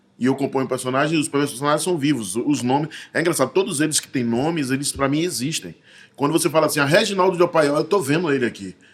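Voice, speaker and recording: Speaking at a very fast pace, the man has a fairly high voice. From Bahia, Brazil (grew up in Salvador). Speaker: actor and visual artist. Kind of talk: casual interview chat.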